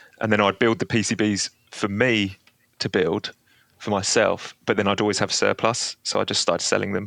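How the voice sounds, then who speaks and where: A man with an English accent talks at a moderate pace in a fairly low, flat monotone. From England, London. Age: 30s. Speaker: guitar pedal builder. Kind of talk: casual interview chat.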